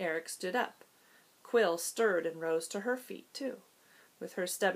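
Here is a natural reading voice. The text is read aloud in it.

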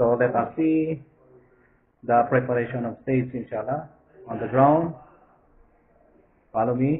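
A man speaks at a moderate pace with fairly even intonation. Light background noise sits behind him. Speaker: school staff vlogger. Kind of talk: casual vlog chat. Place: hall. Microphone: phone near.

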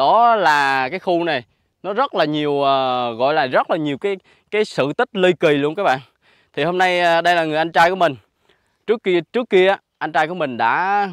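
A man's lively intonation at a moderate pace, in a dry sound with no echo against a quiet background. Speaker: vlogger host. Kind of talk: casual vlog chat. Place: open country. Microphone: lapel.

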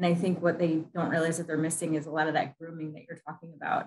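A woman speaks with a Midwestern American accent. Her pitch is fairly low. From US Midwest. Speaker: executive coach. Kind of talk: interview. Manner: animated.

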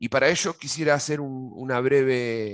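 Someone with an Argentine accent speaks very slowly. The background is quiet and the sound is dry, with no echo. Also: man. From Argentina. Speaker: agronomist giving a technical webinar; presenter. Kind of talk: webinar lecture; lecture. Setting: video call. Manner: halting, frequent fillers and repetitions. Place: office. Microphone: headset.

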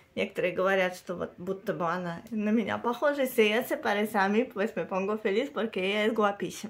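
A woman talks at a fairly quick pace with medium pitch and ordinary pitch variation. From Russia. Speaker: video blogger; doll collector vlogger. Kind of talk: personal storytelling vlog, bilingual. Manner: halting. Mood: personal, emotional storytelling. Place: home room. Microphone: phone near.

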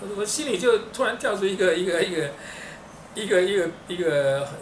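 Lively in intonation and fairly quick, a man speaks at a high pitch with audible room echo and light background noise. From Taiwan. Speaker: video blogger and self-improvement speaker; video blogger, speaker. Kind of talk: monologue talk to camera. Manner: halting, repetitive. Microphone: webcam.

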